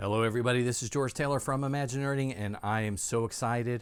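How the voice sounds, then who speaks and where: A man with a medium-pitched voice speaks at a fairly quick pace in an animated tone. The recording is very clean, with a silent background. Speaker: book reviewer / YouTuber. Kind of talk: casual book flip-through review.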